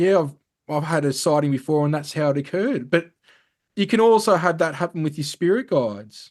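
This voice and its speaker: A man with an Australian accent, fairly high-pitched, lively in intonation, at a fairly quick pace. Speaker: spiritual teacher and ET contact experiencer. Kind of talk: interview. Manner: fast.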